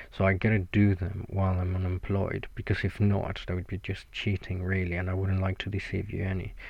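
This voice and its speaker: A man talks at a very fast pace with a very deep, low pitch and fairly even intonation. His voice is somewhat breathy, in a Mexican accent. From Mexico. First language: Spanish. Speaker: podcaster and blogger. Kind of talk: casual solo monologue.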